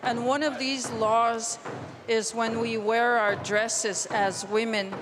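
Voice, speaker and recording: In a room with audible echo and noticeable background noise, a woman talks very slowly at a fairly high pitch with monotone, flat intonation. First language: Cree. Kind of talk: public speech.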